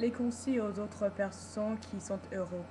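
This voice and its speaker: At a very slow pace, a woman with an English accent speaks at a fairly high pitch. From United States. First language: English (speaking French). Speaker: vlogger. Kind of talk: personal video vlog. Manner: halting, many repetitions and hesitations.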